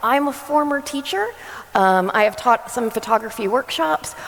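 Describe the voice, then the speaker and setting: Against noticeable background noise, a woman with an American accent speaks at a moderate pace with ordinary pitch variation. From US, New Jersey. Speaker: photographer and former teacher. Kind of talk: conference talk. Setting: stage with audience.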